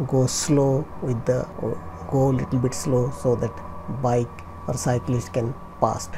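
Noticeable background noise sits behind a woman speaking. Her pitch is very deep and low, and her pace is fairly slow. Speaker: driving instructor. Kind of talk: driving commentary tutorial. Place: car.

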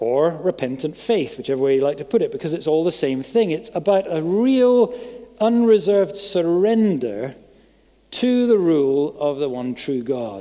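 The man's tone is dark and mellow, with very wide pitch swings. He keeps a moderate pace over a quiet background. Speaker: preacher. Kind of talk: sermon. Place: church. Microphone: headset.

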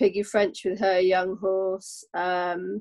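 A woman's monotone, flat intonation against a quiet background. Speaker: guest. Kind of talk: interview answer. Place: home room. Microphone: video call.

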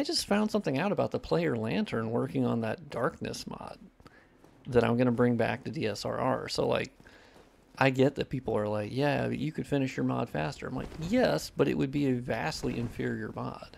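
At a moderate pace, a man speaks at a medium pitch with ordinary pitch variation, vocal fry and a nasal sound.

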